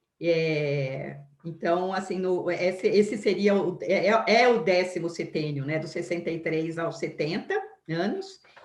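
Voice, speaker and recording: A woman talks at a fairly slow pace with a fairly low pitch and ordinary pitch variation. Audible room echo fills the recording. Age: 60s. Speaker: biography lecturer. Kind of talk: lecture. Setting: live stream. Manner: halting.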